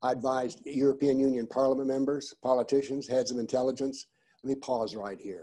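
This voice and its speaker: The tone is dark and mellow, and the pace runs fairly quick. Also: man. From United States. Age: 70s. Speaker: professor and author on political Islam. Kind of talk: lecture.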